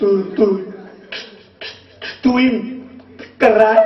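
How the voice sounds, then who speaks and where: A man's put-on character voice, high in pitch, with a slight echo. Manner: heavy stutter with repeated syllables.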